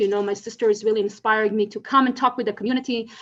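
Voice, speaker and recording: Pitched fairly high, a woman speaks in an Israeli accent. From Israel, Tel Aviv. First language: Hebrew. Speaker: legal scholar. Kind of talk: conference talk. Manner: hesitant, many fillers.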